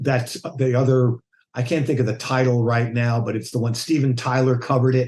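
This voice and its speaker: A man talks in a monotone with flat intonation and an American accent. His voice is somewhat breathy. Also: medium pitch for a man, fairly quick pace. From United States. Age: 60s. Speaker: bass player. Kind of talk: casual interview chat.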